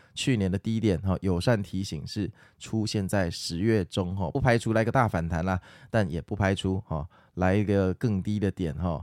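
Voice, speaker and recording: Speaking with a Taiwanese accent, a man with a very deep, low pitch is heard on a very clean recording with a silent background and a dry, close sound with no echo. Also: ordinary pitch variation, moderate pace. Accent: Taiwanese Mandarin. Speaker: stock market podcaster. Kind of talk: casual market commentary and listener Q&A.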